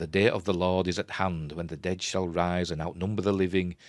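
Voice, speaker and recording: A man speaks at a moderate pace with a Yorkshire accent, his voice very deep and low. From Yorkshire, England. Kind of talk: script treatment reading.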